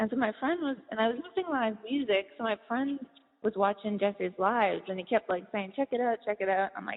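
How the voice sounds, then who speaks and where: In an American accent, a woman talks at a fairly quick pace with a fairly high pitch and ordinary pitch variation. It is an ordinary speaking voice. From Boston, US. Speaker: podcast host and author. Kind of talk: casual interview chat.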